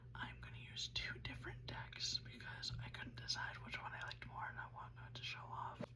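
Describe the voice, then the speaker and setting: Noticeable background noise sits behind this woman's voice. She speaks with hardly any pauses. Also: moderate pace. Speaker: ASMR creator. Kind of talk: ASMR tarot reading. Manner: soft-spoken, whispery.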